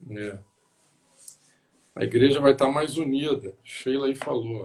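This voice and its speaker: Somewhat breathy and very slow, a man speaks at a medium pitch with ordinary pitch variation and big swings in loudness. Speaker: pastor. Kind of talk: casual chat. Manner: soft-spoken.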